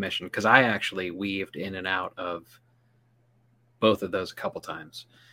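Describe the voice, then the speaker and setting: In a very clean recording with a silent background, a man speaks at a moderate pace in a fairly low pitch with a bright, sharp tone. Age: 40s. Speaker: podcast co-host, Amazon seller. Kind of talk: casual chat. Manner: halting.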